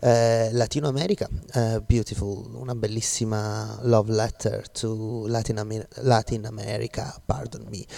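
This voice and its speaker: A man with an Italian accent talks at a medium pitch in a relaxed tone, with fairly even intonation. He goes at a fairly slow pace with hardly any pauses. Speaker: radio DJ. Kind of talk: radio music show links. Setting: studio in Glasgow. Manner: relaxed, code-switching Italian and English.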